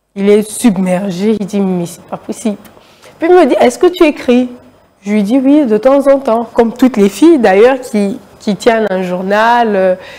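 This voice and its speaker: Speaking at a fairly slow pace with hardly any pauses, a woman uses a fairly high pitch, lively intonation and big swings in loudness over noticeable background noise. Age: young. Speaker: writer. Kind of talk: interview. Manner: hesitant with many fillers.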